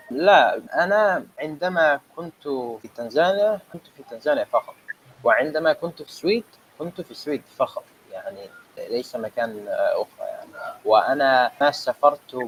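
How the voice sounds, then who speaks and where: Over noticeable background noise, a man speaks at a fairly slow pace with big swings in loudness. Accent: Somali. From Sweden and Tanzania, Somali family. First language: Somali (speaking Arabic). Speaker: Arabic language student. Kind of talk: interview. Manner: halting.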